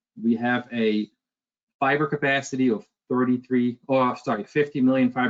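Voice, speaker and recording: This man has a medium-pitched voice and speaks with a Dutch accent. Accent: Dutch, noticeable. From Netherlands. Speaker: sales director. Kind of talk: product presentation webinar.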